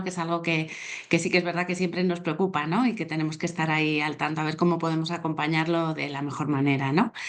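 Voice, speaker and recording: A woman's very fast speech, fairly low in pitch, with fairly even intonation. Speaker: psychologist. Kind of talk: online talk.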